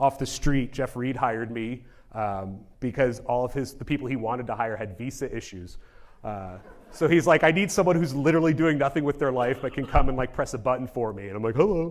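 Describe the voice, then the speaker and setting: Talking at a fairly quick pace, a man uses a medium pitch with ordinary variation. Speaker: genomics researcher. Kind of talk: conference talk. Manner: fast; casual.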